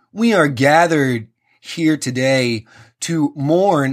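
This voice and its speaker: A put-on character voice, booming and pitched low to middle. The delivery is very slow. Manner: pompous, solemn.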